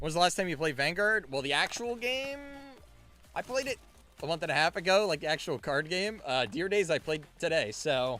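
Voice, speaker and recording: Over music in the background, a man with a high pitch speaks loudly and at a fairly quick pace, with an energetic tone and very wide pitch swings. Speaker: card game streamer and store owner. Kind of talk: live stream case opening chat. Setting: live stream. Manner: casual, energetic.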